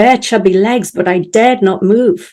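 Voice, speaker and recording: A woman's dark, mellow tone with ordinary pitch variation. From North Wales. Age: 60s. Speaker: keynote speaker. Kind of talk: keynote talk. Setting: virtual showcase stage.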